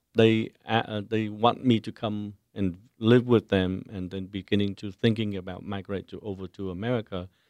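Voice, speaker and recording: A man with a Vietnamese accent speaks at a fairly low pitch with fairly even intonation. The sound is dry and close with no echo, over a quiet background. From Vietnam (Saigon). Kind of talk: radio interview. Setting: studio. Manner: halting.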